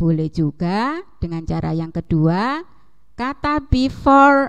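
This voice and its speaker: At a very slow pace, a woman speaks at a medium pitch with very wide pitch swings. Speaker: junior high English teacher. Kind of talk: online class lesson. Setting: video call.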